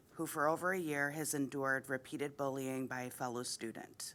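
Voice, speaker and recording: A loud voice with a bright, sharp tone and fairly even intonation comes at a fairly quick pace in a very clean recording with a silent background. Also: woman. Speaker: parent giving public comment. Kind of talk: prepared public comment statement.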